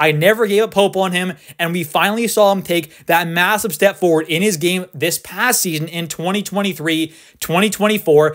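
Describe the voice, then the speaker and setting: A man speaks loudly and at a fairly quick pace in a high, excited voice. The recording is very clean, with a silent background. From Canada. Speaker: sports YouTuber. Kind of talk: casual commentary video. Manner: loud, excited.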